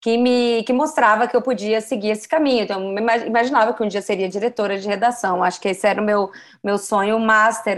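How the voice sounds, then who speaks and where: A woman's plain, everyday voice, fairly high in pitch with ordinary pitch variation, at a fairly quick pace on a very clean recording with a silent background. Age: 40s. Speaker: journalist and career coach. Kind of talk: casual interview.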